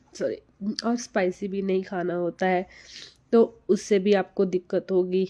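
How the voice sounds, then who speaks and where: Soft-spoken and dark, mellow in tone, a woman talks at a fairly slow pace in a monotone, flat intonation with long, frequent pauses. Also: medium pitch for a woman, quiet background. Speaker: TB survivor content creator. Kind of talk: live stream Q&A advice talk. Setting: live session. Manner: slow, speaking softly.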